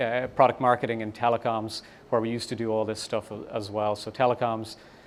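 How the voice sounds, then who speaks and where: A man's monotone, flat delivery at medium pitch and a fairly quick pace, with an Irish accent. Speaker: startup founder and CEO. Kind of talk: conference talk. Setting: meetup with audience. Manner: fast; hesitant, many fillers.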